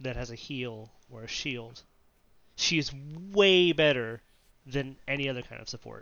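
At a moderate pace, a man talks in a medium-pitched voice with ordinary pitch variation, big swings in loudness, and long, frequent pauses. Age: 30s. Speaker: podcast co-host. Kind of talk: casual chat. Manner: hesitant with fillers.

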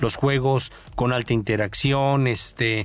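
Speaking very slowly, a man uses a medium pitch and fairly even intonation. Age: 50s. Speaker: radio co-host. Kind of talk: radio chat. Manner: halting, many repeated words.

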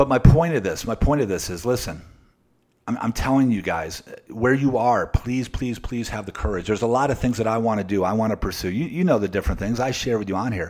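A man's very fast, animated delivery with lively intonation. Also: medium pitch for a man, very clean recording, silent background. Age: 40s. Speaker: podcast host, motivational speaker. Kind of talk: motivational monologue. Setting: home office. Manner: animated, repetitive with frequent restarts.

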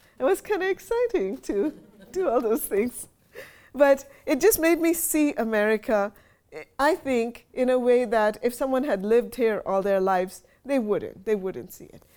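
Her high voice has a dark, mellow tone, and as this woman talks at a moderate pace her pitch swings very widely and her loudness rises and falls sharply. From India. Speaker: novelist. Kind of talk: author talk with readings. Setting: library event with audience.

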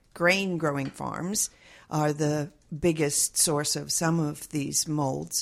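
On a very clean recording with a silent background, a woman talks at a very slow pace. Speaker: mold allergy advocate. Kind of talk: interview.

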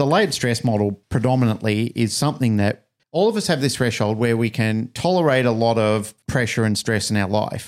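An Australian accent at a fairly quick pace, with ordinary pitch variation, very even loudness and a very clean recording over a silent background. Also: man, medium pitch for a man. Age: 50s. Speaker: podcast host and dog trainer. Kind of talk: casual interview.

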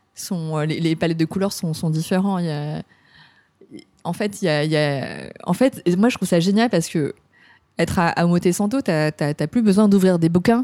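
A woman with a dark, mellow tone and fairly low pitch speaks at a moderate pace with ordinary pitch variation, in a dry, close sound with no echo. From France. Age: 40s. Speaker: hairdresser. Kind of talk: casual interview.

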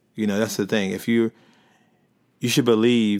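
A man with an American accent, fairly low in pitch and fairly even in intonation, on a very clean recording with a silent background. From US, Baltimore. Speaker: visual artist. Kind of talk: casual chat. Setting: host's home. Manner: hesitant, many fillers.

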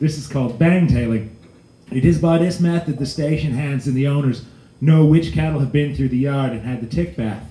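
This man has a dark, mellow tone, fairly high in pitch and somewhat breathy. He talks at a fairly quick pace with ordinary pitch variation. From Alberta, Canada. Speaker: storyteller. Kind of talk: storytelling performance.

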